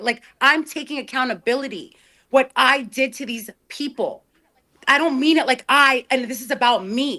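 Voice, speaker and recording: A woman's high, bright, sharp voice, raised and projected, at a fairly slow pace. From Ukrainian-Russian background. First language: Russian. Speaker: interview guest. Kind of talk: apology interview. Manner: halting.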